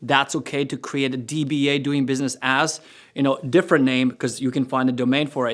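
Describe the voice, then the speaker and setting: A man with a fairly high pitch and a non-native accent, at a fairly quick pace with fairly even intonation. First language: not English. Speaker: entrepreneur and course creator. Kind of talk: tutorial. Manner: casual, conversational.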